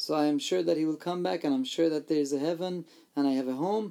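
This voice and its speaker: A man's dark, mellow voice. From Iran, Armenian family. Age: 40s. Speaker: pastor sharing testimony. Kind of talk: interview testimony.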